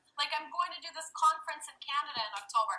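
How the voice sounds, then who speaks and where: Raising and projecting her voice, a woman talks at a fairly quick pace in a bright, sharp tone. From Russia. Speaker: life coach and meditation teacher. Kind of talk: podcast interview. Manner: animated.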